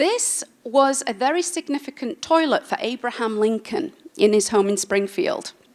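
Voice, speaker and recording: A high-pitched woman with an English accent, very wide pitch swings and a moderate pace. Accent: English accent she keeps. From England. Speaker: industrial designer. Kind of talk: talk to audience. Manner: casual with fillers.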